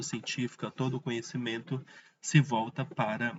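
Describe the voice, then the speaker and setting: A somewhat breathy man's voice, medium in pitch, at a moderate pace. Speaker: teacher. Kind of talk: lecture. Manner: casual, halting with fillers.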